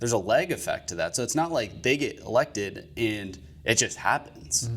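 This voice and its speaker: Speaking in an Upper Midwest accent, a man with a medium pitch and vocal fry swings his pitch very widely. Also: moderate pace. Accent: Upper Midwestern. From Michigan.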